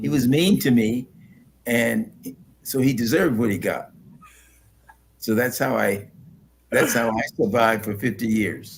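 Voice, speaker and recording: Slowing to a fairly slow pace with long, frequent pauses, a man speaks at medium pitch with vocal fry. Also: ordinary pitch variation. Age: 80s+. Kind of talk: interview answer.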